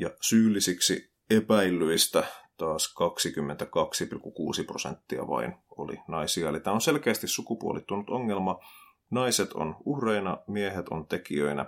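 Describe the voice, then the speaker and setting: Very slow but with lively intonation, a man speaks at a fairly low pitch. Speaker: podcast host, social commentator. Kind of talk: solo commentary podcast.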